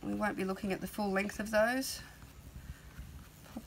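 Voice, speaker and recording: A woman at medium pitch and a fairly quick pace, with noticeable background noise. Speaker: art tutor. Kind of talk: tutorial. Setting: outdoors on a veranda. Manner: soft-spoken.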